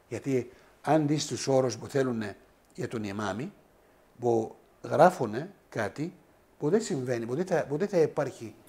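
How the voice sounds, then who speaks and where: A man's dark, mellow tone at a fairly slow pace, with lively intonation and long, frequent pauses. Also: medium pitch for a man. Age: 60s. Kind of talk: interview. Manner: halting.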